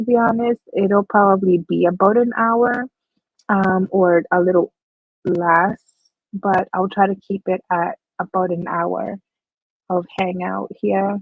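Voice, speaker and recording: A woman speaks quietly at a fairly slow pace, using a medium pitch and fairly even intonation. Her pauses are long and frequent. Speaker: crochet livestreamer. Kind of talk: casual livestream chat. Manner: low energy, quiet.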